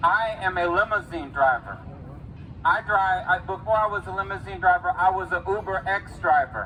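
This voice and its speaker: A man speaks with a high pitch. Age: 20s. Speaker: rally speaker. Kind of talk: testimony. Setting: outdoor rally at the state capitol.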